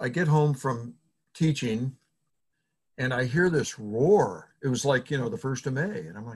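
A man with a somewhat breathy, medium-pitched voice speaks with lively intonation and an American accent. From Indiana (Fort Wayne). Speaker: podcast host, association executive director. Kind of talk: casual interview.

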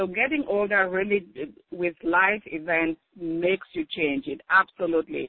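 A woman talks at a fairly slow pace. Her pitch is fairly low. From Cameroon. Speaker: nurse and contributing author. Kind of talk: interview. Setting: phone call. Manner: halting.

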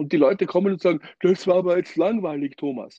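A high-pitched man with lively intonation and a dark, mellow tone. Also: quiet background. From Austria. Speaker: drummer. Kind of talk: interview.

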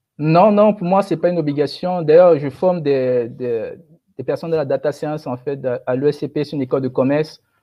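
A man speaks in a normal speaking voice at a moderate pace, his pitch fairly high with ordinary variation. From Cameroon. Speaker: data science expert. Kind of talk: webinar interview.

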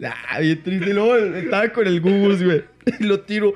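Noticeable background noise sits behind a man speaking with a Mexican accent. His pitch is high, with ordinary variation. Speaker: comedy podcast host. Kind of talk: casual chat.

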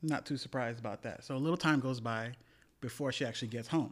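A man speaks in an ordinary speaking voice with an American accent, ordinary pitch variation and a moderate pace on a very clean recording with a silent background. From US, West Indian household. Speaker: podcast co-host. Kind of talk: casual chat.

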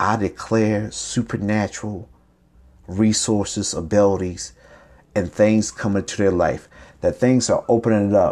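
A man speaks at a fairly low pitch and moderate pace, with a dark, mellow, warm tone. His intonation is monotone and flat. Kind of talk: sermon. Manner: warm, exhortative, encouraging; prophetic, declarative pulpit cadence with call-and-response 'Amen'.

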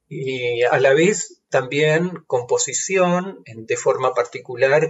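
A man is talking. His delivery is very slow. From Argentina, Santa Rosa, La Pampa. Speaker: composer and professor. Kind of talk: interview.

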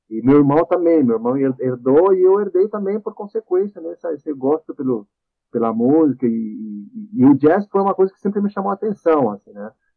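A man with a fairly high pitch talks at a moderate pace, his loudness swinging widely and his pitch swinging very widely. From Chile. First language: Spanish (speaking Portuguese). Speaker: composer. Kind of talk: casual interview.

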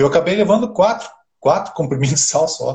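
With a dark, mellow tone, a man sounds somewhat breathy and uses lively intonation. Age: 50s. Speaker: amateur triathlete. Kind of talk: casual interview on a live stream.

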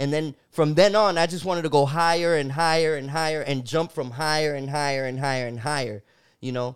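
A man speaks in a normal speaking voice at a fairly high pitch with ordinary pitch variation. The pace is fairly quick, and the recording is very clean with a silent background. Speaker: podcast host. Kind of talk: casual chat.

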